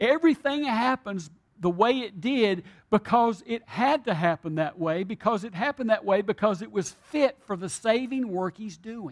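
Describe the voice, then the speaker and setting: A man's high-pitched voice with lively intonation at a moderate pace, in a very clean recording with a silent background and a dry, close sound with no echo. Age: old. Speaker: pastor. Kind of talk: sermon.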